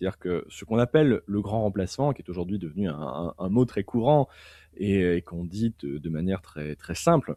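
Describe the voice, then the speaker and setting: A man's fairly low, dark and mellow voice with lively intonation and big swings in loudness, at a moderate pace, dry and close with no echo, on a very clean recording against a silent background. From Belgium, Liège (French-speaking). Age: 20s. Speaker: political philosophy author and commentator. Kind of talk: interview discussion. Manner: halting, many repetitions and fillers.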